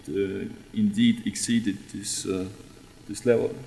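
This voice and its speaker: A man talks at a medium pitch amid audible room echo. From Estonia. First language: Estonian. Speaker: radiation researcher. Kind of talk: conference talk. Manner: halting.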